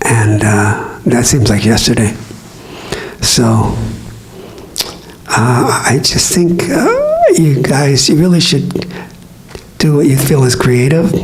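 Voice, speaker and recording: A man speaks very slowly with long, frequent pauses, lively intonation and very even loudness, amid audible room echo and noticeable background noise. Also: medium pitch for a man. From US West, East Los Angeles. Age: 70s. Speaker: radio DJ and guitar teacher. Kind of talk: talk to an audience. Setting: public library event with audience. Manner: halting, with repeated words.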